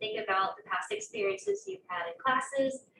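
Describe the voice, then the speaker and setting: A woman talking at a fairly quick pace, ordinary pitch variation, audible room echo. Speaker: graduate student. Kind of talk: panel talk at open house. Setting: classroom with audience. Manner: soft-spoken.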